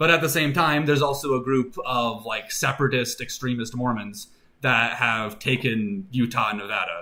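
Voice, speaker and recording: With a bright, sharp tone, a man talks at medium pitch and a moderate pace, showing ordinary pitch variation. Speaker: streamer and worldbuilding artist. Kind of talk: casual live stream chat. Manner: casual, many fillers.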